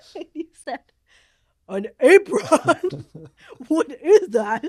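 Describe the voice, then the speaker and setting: Very slow and high-pitched, a woman's voice swings very widely in pitch, with a dry, close sound and no echo. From Philippines. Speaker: podcast co-host, campus ministry leader. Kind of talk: casual chat.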